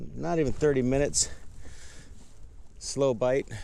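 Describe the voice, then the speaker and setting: This is a man talking. He moves at a fairly quick pace. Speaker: fishing vlogger. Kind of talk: casual outdoor vlog commentary. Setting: outdoors on a kayak on a lake. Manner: loud.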